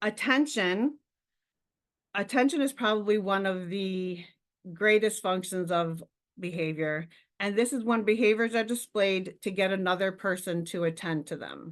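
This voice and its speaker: An ordinary speaking voice from a woman, medium in pitch, with ordinary pitch variation and a moderate pace. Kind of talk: webinar lecture.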